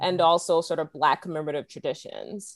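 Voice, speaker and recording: A woman with an ordinary speaking voice, a fairly low pitch and ordinary pitch variation over a quiet background. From US South, South Carolina. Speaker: history professor. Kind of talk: panel discussion.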